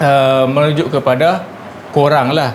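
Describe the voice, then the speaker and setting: The speaker has a Kedah accent and a fairly slow pace. Noticeable background noise is present. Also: man. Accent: northern Malay (Kedah). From Baling, Kedah, Malaysia. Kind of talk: casual talk to camera.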